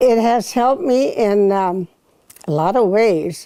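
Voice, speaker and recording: Lively intonation and a dark, mellow tone with an American accent, at a fairly slow pace. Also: woman. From Northern California. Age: 80s+. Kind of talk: interview answer.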